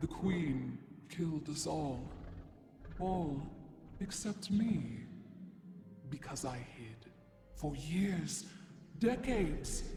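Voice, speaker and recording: A man's put-on character voice, fairly high-pitched and very slow, with long, frequent pauses, clear echo and clear background noise. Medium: video game. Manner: cryptic, oracular.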